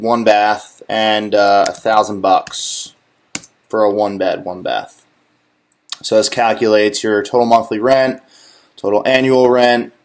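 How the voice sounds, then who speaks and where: A man talks at a moderate pace with a normal speaking voice and medium pitch. His intonation is fairly even over a quiet background. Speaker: real estate lender. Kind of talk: tutorial.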